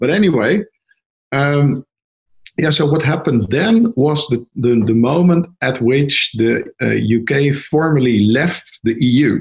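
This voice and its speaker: Speaking very slowly, a man uses a fairly high, somewhat breathy voice. His intonation is lively while his loudness stays very even. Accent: Dutch. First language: Dutch. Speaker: lawyer. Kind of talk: interview.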